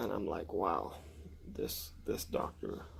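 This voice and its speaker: A man whispers. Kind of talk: personal story told to camera.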